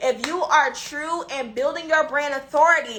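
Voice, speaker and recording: Her voice is raised and projected, with a bright, sharp tone. The woman sounds animated, with ordinary pitch variation. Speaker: business coach. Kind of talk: live stream teaching.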